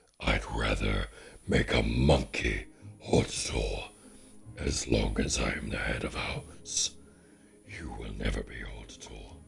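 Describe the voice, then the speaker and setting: A man does a put-on character voice with a rumbling sound. He speaks at a fairly slow pace. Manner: scornful, haughty.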